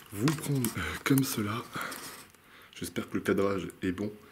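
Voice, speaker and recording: A somewhat breathy man's voice at a fairly slow pace. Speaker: urban explorer vlogger. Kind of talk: vlog narration while exploring. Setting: indoors in abandoned hotel. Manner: halting, hesitant.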